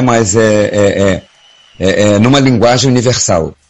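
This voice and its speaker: This man's voice sits at a medium pitch. His pitch variation is ordinary. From Belém, Pará, northern Brazil. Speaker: singer. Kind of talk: casual chat. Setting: studio. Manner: halting.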